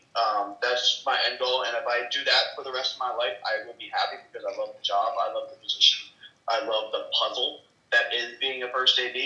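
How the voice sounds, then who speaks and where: Here a man talks at a fairly quick pace with an American accent. His loudness swings widely. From California. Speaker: film crew member. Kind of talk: casual chat. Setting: video call.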